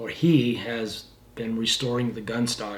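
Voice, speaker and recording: A man keeps a moderate pace while audible room echo and noticeable background noise surround him. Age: 70s. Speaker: firearms restorer and channel host. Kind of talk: casual channel update talk to camera. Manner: halting, many fillers and repeats.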